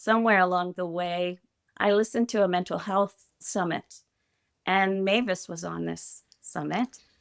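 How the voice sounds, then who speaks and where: On a very clean recording with a silent background, a woman speaks at a fairly slow pace and fairly low pitch, the sound dry and close with no echo. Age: 60s. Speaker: retired educator. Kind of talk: personal interview testimony.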